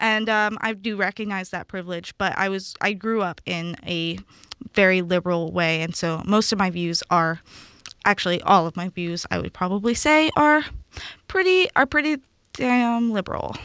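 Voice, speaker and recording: In a normal speaking voice, a woman talks at medium pitch and a moderate pace with lively intonation, in a dry, close sound with no echo. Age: young. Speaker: student radio co-host. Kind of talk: casual chat. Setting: studio.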